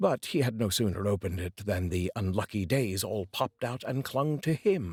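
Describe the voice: A man talks at a moderate pace with a fairly low, slightly mellow voice, a slightly husky edge and lively intonation. The recording is very clean, with a silent background.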